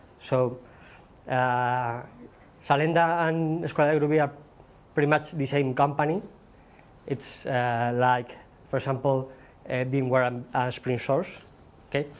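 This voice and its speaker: Speaking at a fairly slow pace with long, frequent pauses, a man with a medium pitch and fairly even intonation is heard amid audible room echo. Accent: Spanish. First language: Spanish. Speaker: software developer and conference speaker. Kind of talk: conference talk. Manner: halting, many fillers.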